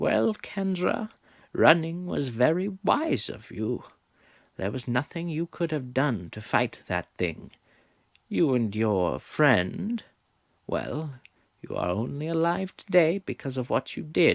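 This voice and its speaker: A man's put-on character voice, fairly high-pitched with very wide pitch swings and a fairly slow pace, on a very clean recording with a silent background. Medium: read story. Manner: stern, authoritative.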